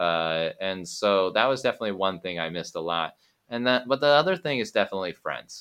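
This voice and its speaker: Over a quiet background, a man with a fairly low pitch races along at a very fast pace with lively intonation. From US, Oregon (Eugene). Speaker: English teacher, podcaster. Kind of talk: interview, casual chat.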